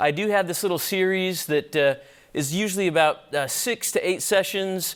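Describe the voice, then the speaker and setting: The recording is very clean, with a silent background. A man speaks at a high pitch with ordinary pitch variation. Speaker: physician teaching a church apologetics class. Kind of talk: lecture. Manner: fast.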